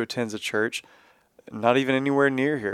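The speaker has a Texan accent and ordinary pitch variation. The recording is very clean with a silent background, and the sound is dry and close with no echo. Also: man. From Texas. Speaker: podcast host at a church. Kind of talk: casual interview.

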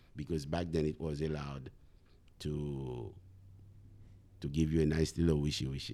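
A man's very deep, low pitch and dark, mellow tone with a Haitian accent, at a moderate pace, in monotone, flat intonation broken by long, frequent pauses. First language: Haitian Creole. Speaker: math teacher. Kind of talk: interview.

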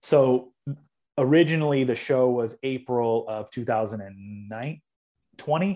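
Against a quiet background, a man with a Californian accent speaks in a dark, mellow tone with ordinary pitch variation. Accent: Californian American. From Southern California, Long Beach. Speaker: dubstep DJ and producer. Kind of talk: casual interview. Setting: video call from home studio.

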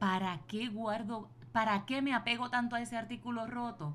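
Somewhat breathy and fairly slow, a woman talks at a fairly high pitch. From Puerto Rico. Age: 40s. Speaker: podcast host, business and wellbeing coach. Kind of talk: motivational solo podcast talk.

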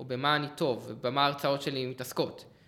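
Bright and sharp in tone, a man speaks at a fairly high pitch and moderate pace with fairly even intonation. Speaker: CTO, software developer. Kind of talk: casual tech chat.

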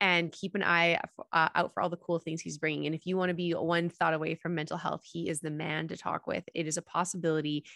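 Speaking at a fairly quick pace, a woman with a fairly low pitch and a bright, sharp tone is heard in a dry, close recording with no echo and a quiet background. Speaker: podcast host. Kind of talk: casual interview chat.

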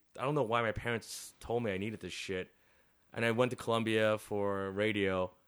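A man with a Chicago accent speaks at a medium pitch and a moderate pace. The recording is very clean, with a silent background. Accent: Chicago American. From Chicago, north side. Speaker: chef and restaurant owner. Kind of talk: casual interview.

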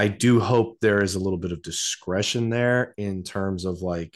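In an unremarkable speaking voice, a man with a fairly low pitch and ordinary pitch variation speaks at a moderate pace against a quiet background. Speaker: podcast co-host. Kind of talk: casual chat.

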